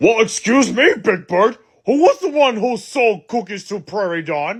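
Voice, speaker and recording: Someone does a put-on character voice at a fairly high pitch. The pace is moderate. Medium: comedy sketch. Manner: hesitant, fussy.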